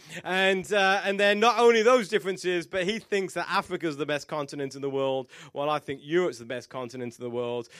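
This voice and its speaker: Speaking with a British accent, a man talks fairly quickly at a high pitch with hardly any pauses and lively intonation. His loudness swings widely on a very clean recording with a silent background. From England. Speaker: pastor. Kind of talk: church announcement. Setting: church stage with audience. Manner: hesitant with many fillers.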